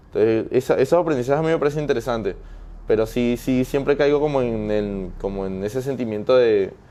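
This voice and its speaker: With a dark, mellow tone and a medium pitch, a man speaks at a fairly quick pace using ordinary pitch variation. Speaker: interviewee, migrant. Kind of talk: interview conversation. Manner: hesitant, with many fillers and restarts.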